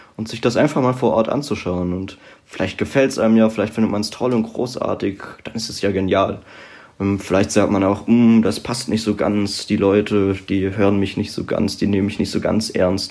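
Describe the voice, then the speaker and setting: At a moderate pace, a man with a fairly low pitch speaks in an unremarkable speaking voice. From southern Palatinate, Germany. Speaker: political author and student. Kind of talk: podcast interview.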